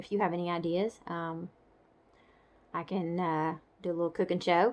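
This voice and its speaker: Speaking at a moderate pace, a woman keeps a fairly low pitch and fairly even intonation. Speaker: stroke survivor vlogger. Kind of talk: casual vlog update. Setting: home. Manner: halting.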